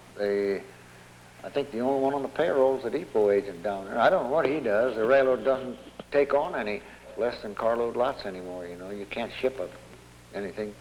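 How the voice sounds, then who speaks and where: Over noticeable background noise, a man with an American accent speaks at a medium pitch and a fairly quick pace with ordinary pitch variation. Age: 70s. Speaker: retired railroad town resident. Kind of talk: oral history interview. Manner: halting, many repetitions.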